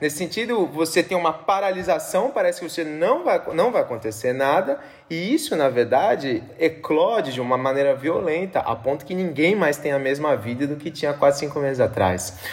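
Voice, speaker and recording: Speaking in a normal speaking voice, a man with fairly high pitch and lively intonation keeps a moderate pace. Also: hardly any pauses. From Brazil, São Paulo. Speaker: philosophy professor. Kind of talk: casual conversation.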